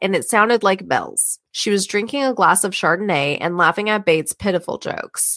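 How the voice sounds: The pitch varies in an ordinary way. It comes from a natural reading voice over a quiet background.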